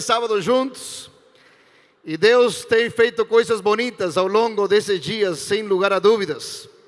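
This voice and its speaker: This man speaks with an Argentine accent. His pace is fairly slow. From Argentina, Entre Ríos. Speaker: pastor. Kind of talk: sermon to youth event. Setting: stage with audience. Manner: animated, joking.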